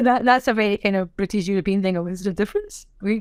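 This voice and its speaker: Speaking at a very fast pace, a woman keeps a medium pitch. Her pitch varies in an ordinary way. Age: 50s. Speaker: sign language interpreter. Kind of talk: podcast interview. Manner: animated.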